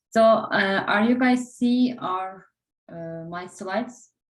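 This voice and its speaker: A woman in a Turkish accent, fairly high-pitched, with ordinary pitch variation and a very slow pace. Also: long, frequent pauses, big swings in loudness. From Turkey. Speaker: interview prep instructor. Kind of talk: online class.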